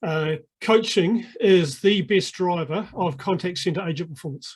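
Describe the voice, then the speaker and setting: Someone with a New Zealand accent speaks over a quiet background. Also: man. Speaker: sales coaching consultant. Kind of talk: podcast interview. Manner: hesitant, many filler words.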